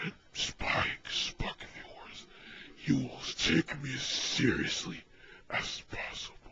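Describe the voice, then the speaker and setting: Someone speaks fairly slowly in a raspy, put-on character voice. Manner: cold, threatening, commanding.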